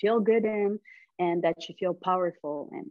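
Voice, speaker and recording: A woman talks in a Quebec accent. Her pace is fairly slow. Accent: Québécois French-accented English. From Montreal, Quebec. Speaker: men's fashion stylist. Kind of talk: podcast interview answer.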